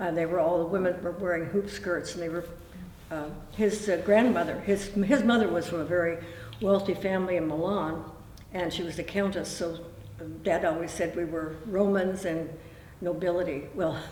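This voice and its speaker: A woman with a fairly low pitch speaks at a moderate pace with fairly even intonation, and the recording has audible room echo and noticeable background noise. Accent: Pacific Northwest. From Oregon, Tualatin area. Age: 80s+. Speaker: local elder interviewee. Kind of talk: oral history interview. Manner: halting.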